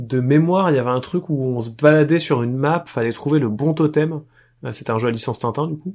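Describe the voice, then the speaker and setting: A man with a plain, everyday voice speaks fairly quickly at a fairly high pitch, with ordinary pitch variation over a quiet background. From France, Poitiers. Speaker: board game designer. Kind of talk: casual chat.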